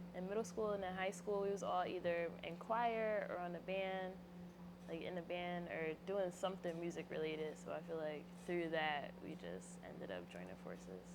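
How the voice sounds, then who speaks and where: A woman's voice at a moderate pace, with audible room echo. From Philadelphia area, US. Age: 20s. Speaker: rapper. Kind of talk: interview. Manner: casual.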